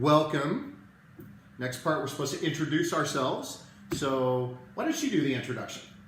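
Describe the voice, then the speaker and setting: Fairly high pitch from a man with fairly even intonation at a moderate pace, plus noticeable background noise and audible room echo. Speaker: network marketing presenter. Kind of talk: live video sales presentation. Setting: live stream from home. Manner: quiet, holding back volume.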